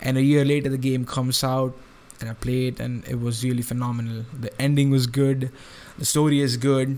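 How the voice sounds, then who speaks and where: A man talks at a fairly quick pace with medium pitch and monotone, flat intonation. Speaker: gaming youtuber. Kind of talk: let's play commentary. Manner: loud; halting, many fillers and restarts.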